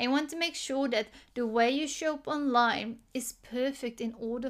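A woman talks at a high pitch. Her intonation stays fairly even. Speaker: business coach podcast host. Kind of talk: solo podcast monologue, motivational coaching talk; guided visualization: listener asked to close eyes and imagine posting effortlessly. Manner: casual, slightly halting, stumbles over words; slow, calm, soothing guided-imagery delivery with gentle second-person prompts.

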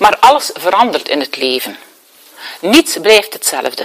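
Noticeable background noise runs under this recording. A woman speaks at a fairly slow pace with medium pitch. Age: 60s. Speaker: therapist and speaker. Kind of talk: lecture.

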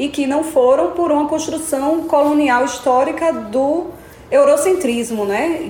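A woman's high-pitched voice in a northeastern Brazilian accent, at a fairly slow pace, with audible room echo and noticeable background noise. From Brazil, Alagoas. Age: young. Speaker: filmmaker and actress. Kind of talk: interview conversation. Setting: in-person office.

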